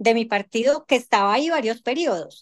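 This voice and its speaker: A woman's fairly high voice with lively intonation at a fairly quick pace, over a quiet background. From Colombia. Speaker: congresswoman; panelist. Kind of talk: panel discussion. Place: home room. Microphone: video call.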